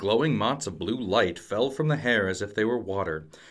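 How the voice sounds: Lively intonation from a natural reading voice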